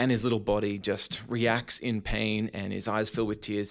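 On a very clean recording with a silent background, a man with an Australian accent speaks fairly slowly in a fairly low pitch, his intonation monotone and flat. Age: 30s. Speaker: pastor and speaker. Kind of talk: interview.

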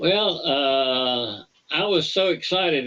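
In a Southern US accent, a man talks at a fairly high pitch. His pitch moves with ordinary variation. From Alabama. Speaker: retired space engineer. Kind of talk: interview. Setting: remote call. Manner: halting.

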